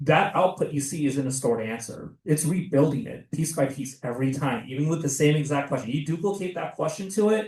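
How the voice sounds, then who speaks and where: The somewhat breathy voice runs at a fairly quick pace with hardly any pauses. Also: man, fairly high pitch for a man, ordinary pitch variation. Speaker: seminar presenter. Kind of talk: lecture.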